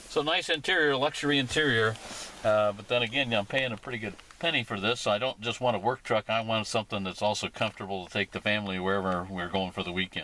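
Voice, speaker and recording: Over noticeable background noise, a man talks very fast with a fairly low pitch and ordinary pitch variation. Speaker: car reviewer, automotive editor. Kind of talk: casual car review to camera.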